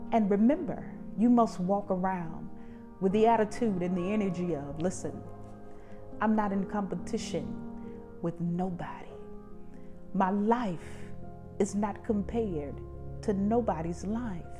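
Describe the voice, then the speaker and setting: Music plays in the background as a woman speaks with long, frequent pauses. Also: medium pitch for a woman, ordinary pitch variation, fairly slow pace. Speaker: talk show host. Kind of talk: motivational self-help talk. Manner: encouraging, preacher-like.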